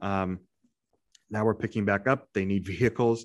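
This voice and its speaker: The recording is very clean, with a silent background. Delivery is moderate in pace and flat, monotone in intonation. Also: man. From Indiana. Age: 30s. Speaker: podcast co-host, small business lender. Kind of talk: casual chat.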